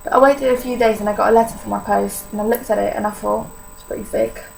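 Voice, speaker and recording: A woman's fairly quick voice over noticeable background noise. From Poland. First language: Polish. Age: young. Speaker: vlogger sharing illness experience. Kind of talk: personal testimony vlog. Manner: casual, hesitant with many fillers.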